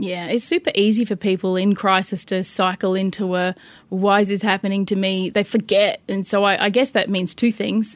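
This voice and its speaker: With an Australian accent, a woman speaks at a moderate pace in monotone, flat intonation, in a dry, close sound with no echo. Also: medium pitch for a woman. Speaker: financial services director. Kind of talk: interview.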